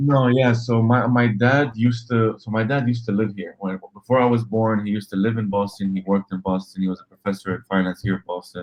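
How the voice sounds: A man talks at a fairly quick pace with few pauses. His pitch is fairly low and shows little movement.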